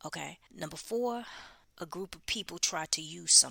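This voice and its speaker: The speaker has lively intonation, vocal fry, and a bright, sharp tone at a moderate pace. The recording is very clean, with a silent background. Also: woman. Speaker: podcast host giving prophetic messages. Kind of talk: unedited prophetic message monologue. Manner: urgent, emphatic.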